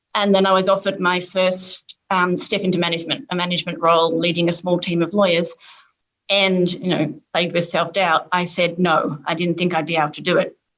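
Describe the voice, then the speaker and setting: A woman speaks at a fairly low pitch and a fairly quick pace. Her intonation is monotone and flat. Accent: Australian. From Australia, suburban Melbourne. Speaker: corporate lawyer and diversity leader. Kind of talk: panel discussion.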